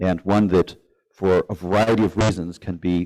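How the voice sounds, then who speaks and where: A man with a fairly low voice and ordinary pitch variation speaks in a dry, close sound with no echo, on a very clean recording with a silent background. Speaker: speaker giving a talk. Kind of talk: live presentation. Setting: event with live audience. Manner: fast.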